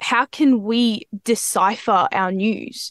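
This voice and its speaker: In an Australian accent, a woman speaks with a fairly high pitch and ordinary pitch variation, with a dry, close sound, no echo, and a quiet background. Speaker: student journalist. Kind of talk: interview.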